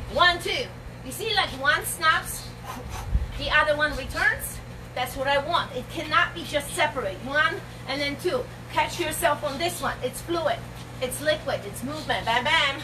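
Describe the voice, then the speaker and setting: The pace is moderate as a woman speaks. There is noticeable background noise. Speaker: fitness instructor. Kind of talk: workout instruction. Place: garden. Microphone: camera far.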